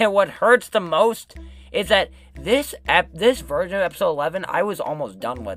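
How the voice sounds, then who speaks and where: A moderate pace with music in the background. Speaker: YouTuber showing unfinished animation project. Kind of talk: unscripted casual video commentary. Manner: many filler words (um, like).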